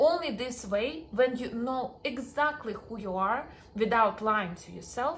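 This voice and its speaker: Amid audible room echo, the speaker talks at a fairly slow pace in a strong Russian accent, with ordinary pitch variation and big swings in loudness. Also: woman, high pitch for a woman. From Russian-speaking background. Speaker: dating and confidence coach. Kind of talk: self-help talk to camera.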